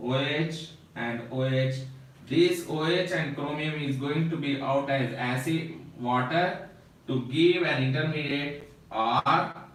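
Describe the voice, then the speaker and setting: Very slow, fairly high-pitched male speech with fairly even intonation, audible room echo and noticeable background noise. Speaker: chemistry teacher. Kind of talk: lecture. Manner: slow, step-by-step.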